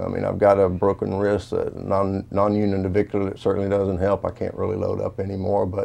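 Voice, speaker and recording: In a monotone, flat delivery with hardly any pauses, a man speaks at a fairly low pitch with a dark, mellow tone. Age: 60s. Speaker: retired pro football player. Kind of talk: interview. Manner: halting.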